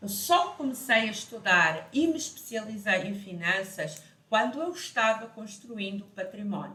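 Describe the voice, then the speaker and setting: A woman speaks at a fairly slow pace in a fairly high pitch, with very wide pitch swings. Audible room echo surrounds her voice. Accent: European Portuguese. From Portugal. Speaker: financial educator. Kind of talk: online lesson.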